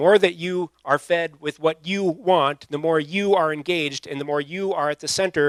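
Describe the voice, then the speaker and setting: On a very clean recording with a silent background and a dry, close sound with no echo, a man with a plain, everyday voice and fairly high pitch talks at a moderate pace with hardly any pauses, fairly even intonation and big swings in loudness. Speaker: pastor. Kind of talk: sermon to a young adult audience. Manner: casual, conversational.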